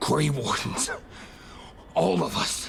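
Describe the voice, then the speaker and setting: Against clear background noise, a man puts on a raspy character voice. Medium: video game.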